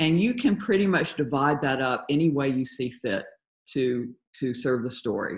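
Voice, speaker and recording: A woman speaks with a very deep, low pitch against a quiet background. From Georgia, US South. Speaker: comic artist. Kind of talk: interview. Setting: video call. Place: home room. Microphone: video call.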